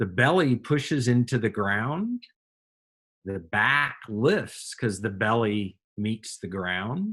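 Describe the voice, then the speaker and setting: A man with a medium-pitched voice talks at a very slow pace. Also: lively intonation. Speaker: yoga and meditation teacher. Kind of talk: guided meditation and breathing instruction. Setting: online or group class session with students.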